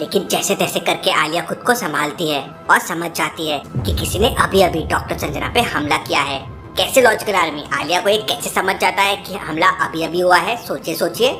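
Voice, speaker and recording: A woman performs a cartoonish character voice at a fairly low pitch and a moderate pace. Clear music plays in the background. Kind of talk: children's riddle storytelling. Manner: lively, questioning.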